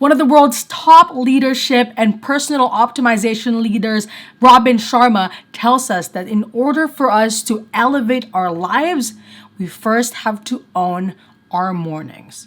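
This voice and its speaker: A woman with a normal speaking voice, fairly high in pitch, fairly slow in pace, and lively in intonation. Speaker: lifestyle vlogger and student. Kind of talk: vlog narration. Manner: casual.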